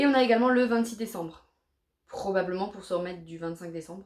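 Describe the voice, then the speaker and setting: Talking at a very fast pace, a woman with an Alsatian accent uses a medium pitch and ordinary pitch variation. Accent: Alsatian French accent, leaning German. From Alsace, France. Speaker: YouTuber. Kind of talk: casual vlog talk to camera.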